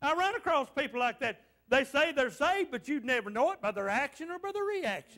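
Over a quiet background, the voice is raised and projected, bright and sharp, with an animated, playful tone, a fairly quick pace and very wide pitch swings. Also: man, extremely high pitch for a man. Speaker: pastor. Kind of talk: fervent revival-style sermon with call-and-response to the congregation. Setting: church. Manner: exhorting and animated, punctuating lines with repeated amens; playful teasing of the congregation to draw responses. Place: church.

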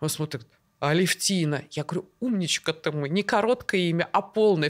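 Speaking at a moderate pace against a quiet background, a woman has a fairly low pitch. Her tone is animated, with ordinary pitch variation. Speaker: endocrinologist guest. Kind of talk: casual chat between doctors. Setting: studio. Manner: animated, talkative. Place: studio. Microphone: studio mic.

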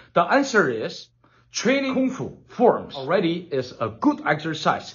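A man with a Chinese accent at a fairly slow pace, his pitch swinging very widely. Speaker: kung fu teacher. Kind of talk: tutorial. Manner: enthusiastic. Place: home room. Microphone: phone near.

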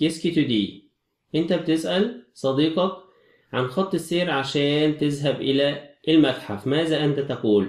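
Speaking at a fairly slow pace, a man uses a fairly high pitch. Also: lively intonation, very even loudness. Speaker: French teacher. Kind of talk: lecture.

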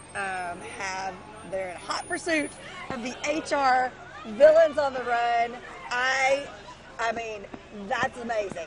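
Over crowd noise in the background, a woman with a high pitch and lively intonation talks at a very slow pace, with long, frequent pauses, big swings in loudness, and a dry sound with no echo. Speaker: TV news anchor co-hosting parade broadcast. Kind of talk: live parade commentary, chatty. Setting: outdoors at parade, live broadcast. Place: street. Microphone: headset.

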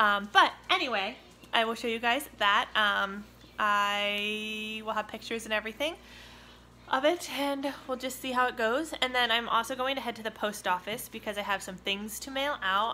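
A woman's bright, sharp tone moves at a moderate pace with ordinary pitch variation. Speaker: family vlogger. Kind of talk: casual vlog chat. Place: home room. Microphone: phone near.

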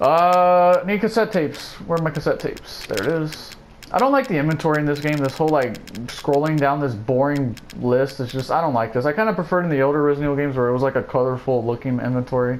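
A man talking at a very fast pace and fairly high pitch over noticeable background noise. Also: ordinary pitch variation. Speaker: gaming video creator. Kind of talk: let's play gameplay commentary. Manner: casual, filler-heavy with frequent uh.

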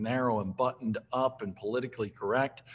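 A man's moderately paced speech, its intonation fairly even. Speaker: remote podcast guest. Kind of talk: interview answer. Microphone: video call.

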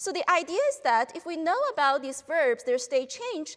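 At a moderate pace, a woman is talking. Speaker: professor giving a talk. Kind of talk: lecture. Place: hall. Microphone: lapel.

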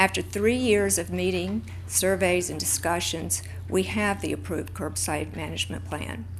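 Somewhat breathy and very deep in pitch, a woman talks at a moderate pace with monotone, flat intonation amid audible room echo. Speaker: public commenter, downtown board member. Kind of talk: public comment at council meeting. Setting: city commission chamber.

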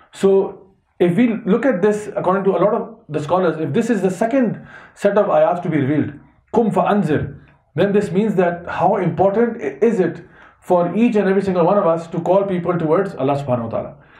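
A man speaks at a very fast pace in a high voice with a dark, mellow tone and ordinary pitch variation, against a quiet background with audible room echo. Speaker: religious teacher. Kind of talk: lecture. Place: home room.

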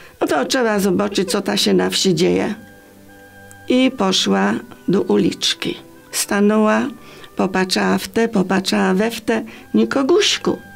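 Speech in a Greater Poland accent moves at a fairly slow pace with long, frequent pauses. Faint music plays in the background. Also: woman. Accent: Greater Poland rural dialect. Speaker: storyteller. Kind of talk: dialect storytelling. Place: studio.

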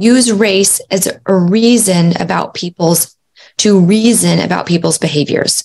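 In a normal speaking voice, a woman talks with a fairly low pitch. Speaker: podcast host. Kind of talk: educational talk. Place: home room.

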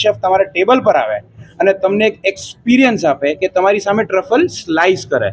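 Ordinary pitch variation shapes a man's high-pitched speech. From India, Mumbai. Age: 20s. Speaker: restaurant owner. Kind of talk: interview.

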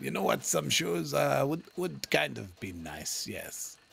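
Using a put-on character voice, a man speaks in a raspy, very deep, low pitch at a fairly slow pace with ordinary pitch variation. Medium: game stream. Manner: soothing, patronizing, slow.

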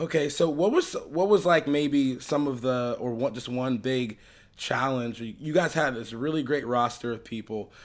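Speaking at a moderate pace, a man with an American accent uses ordinary pitch variation. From Southwest Florida. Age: 20s. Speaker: podcast host interviewing a musician. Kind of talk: casual interview chat. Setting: living room. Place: home room. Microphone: studio mic.

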